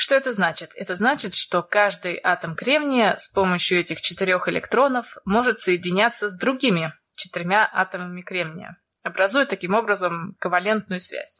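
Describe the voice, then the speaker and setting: A woman talks at a moderate pace in a bright, sharp tone. Her pitch sits in the middle range with ordinary variation. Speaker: podcast co-host. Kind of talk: science explainer.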